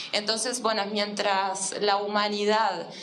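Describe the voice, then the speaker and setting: A woman speaks fairly slowly at a medium pitch. Audible room echo and noticeable background noise are present. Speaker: academic panelist. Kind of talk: academic panel debate.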